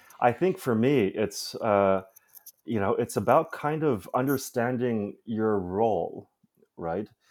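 In an American accent, a man talks at a very slow pace with lively intonation. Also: medium pitch for a man. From US Midwest, Chicago. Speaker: curator. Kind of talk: interview. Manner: halting, many fillers and repetitions.

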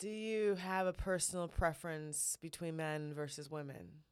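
In a very clean recording with a silent background, a woman with a plain, everyday voice speaks at a fairly low pitch with fairly even intonation. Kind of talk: casual banter chat. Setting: studio. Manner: playful, joking.

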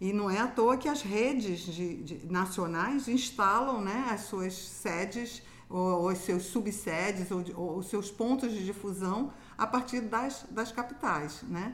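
At a very slow pace, a woman talks in a medium pitch with ordinary pitch variation, and room echo is audible. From Rio de Janeiro, Brazil. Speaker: university professor. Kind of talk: casual interview.

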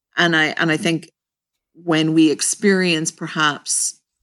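A woman with an ordinary speaking voice talks at a fairly slow pace, her pitch fairly low and her intonation fairly even. The recording is very clean, with a silent background. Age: 50s. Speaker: clinical social worker. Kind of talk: interview.

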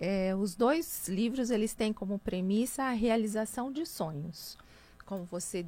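Her tone is dark and mellow, with ordinary pitch variation. The woman speaks at a fairly slow pace. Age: 50s. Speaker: businesswoman and speaker. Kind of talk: radio interview.

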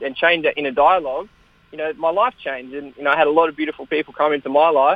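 Someone with an Australian accent talks at a very fast pace, keeping the intonation fairly even. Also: man. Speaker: kettlebell world champion and author. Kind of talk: interview.

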